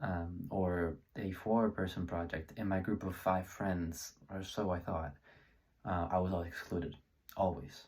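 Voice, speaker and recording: A man with a very deep, low pitch speaks at a fairly slow pace, somewhat breathy and with fairly even intonation, in a very clean recording with a silent background. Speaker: student presenter. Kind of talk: presentation. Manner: halting, many fillers.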